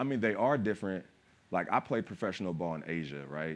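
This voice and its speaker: A man talking at a fairly quick pace. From California, family from West Philadelphia. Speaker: actor and former pro basketball player; actor. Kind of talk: panel discussion. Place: stage. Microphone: lapel.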